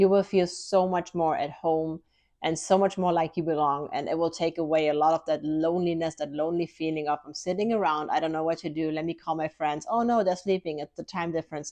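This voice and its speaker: A woman with a German accent speaks fairly quickly, with hardly any pauses and fairly even intonation. Her pitch is fairly low, and the background is quiet. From Germany. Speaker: lifestyle vlogger. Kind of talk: casual vlog talk to camera.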